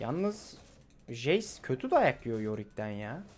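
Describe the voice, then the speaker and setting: The pace of this man's speech is very slow. His pitch sits at a medium level but swings very widely. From Izmir, Turkey. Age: 20s. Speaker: gaming video creator. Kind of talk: casual gameplay commentary.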